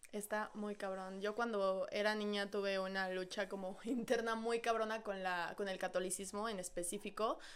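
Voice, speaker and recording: Speaking at a moderate pace with hardly any pauses, a woman with a Mexican accent keeps a medium pitch and a monotone, flat intonation. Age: 20s. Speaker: podcast co-host. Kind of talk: casual chat.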